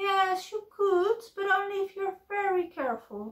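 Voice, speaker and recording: Squeaky and extremely high, a woman's put-on character voice moves at a moderate pace. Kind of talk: puppet play character voice. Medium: read story. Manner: polite, prim, formal. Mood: cautious, prim.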